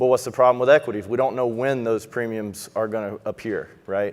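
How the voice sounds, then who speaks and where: Delivered at a fairly quick pace, a man's medium-pitched voice carries a Texas accent and fairly even intonation. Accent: noticeable Texas. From Texas, Houston. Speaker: financial advisor. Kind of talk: conference presentation.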